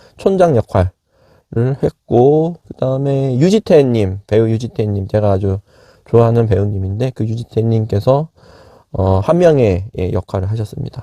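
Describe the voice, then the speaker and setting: Lively intonation shapes a dark, mellow tone at a moderate pace. The background is quiet. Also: man. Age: 50s. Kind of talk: casual movie review talk to camera.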